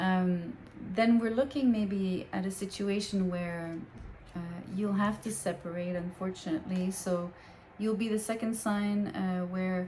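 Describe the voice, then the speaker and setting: A woman speaks in a French Canadian accent at a fairly slow pace. Her pitch is medium and her intonation fairly even. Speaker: tarot reader. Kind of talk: tarot reading. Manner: hesitant, many fillers.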